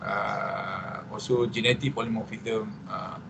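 The speaker has a Malaysian accent. Noticeable background noise runs underneath. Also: man. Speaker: psychiatrist and addiction researcher. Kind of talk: presentation. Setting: video call. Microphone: video call.

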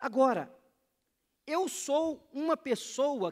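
A man against a quiet background. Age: 40s. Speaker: pastor. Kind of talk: sermon.

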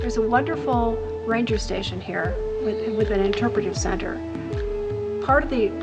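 Clear music plays behind this woman as she talks. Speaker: travel show commentator. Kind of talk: travel commentary. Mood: calm, admiring. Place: tunnel cave.

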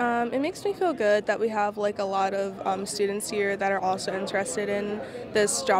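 A woman talks at a moderate pace while noticeable noise sits in the background. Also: dry sound with no echo. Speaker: interviewee. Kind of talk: interview answer. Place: hall. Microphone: handheld.

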